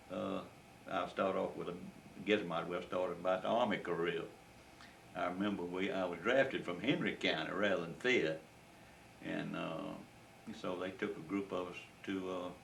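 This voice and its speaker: A man's very deep, low voice with a Southern US accent, fairly even intonation and a moderate pace, broken by long, frequent pauses, with audible room echo and noticeable background noise. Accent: Southern US (Georgia). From US South, rural Georgia. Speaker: war veteran. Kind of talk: oral history interview. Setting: at home. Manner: halting.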